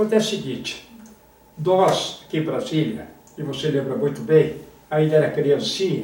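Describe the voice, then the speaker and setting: Amid noticeable background noise and audible room echo, a man with a fairly high voice and lively intonation speaks at a moderate pace. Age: 80s+. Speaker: former football federation president, author. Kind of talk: interview.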